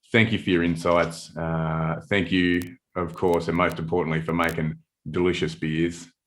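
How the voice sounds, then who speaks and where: A man speaks at a moderate pace with an Australian accent. His very deep, low voice holds a monotone, flat intonation. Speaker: hop company marketing head hosting webinar. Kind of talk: casual chat.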